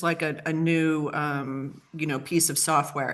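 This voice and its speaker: Fairly slow and fairly low, a woman's voice moves with ordinary pitch variation. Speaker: marketing consultant and AI speaker. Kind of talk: webinar presentation. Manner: animated.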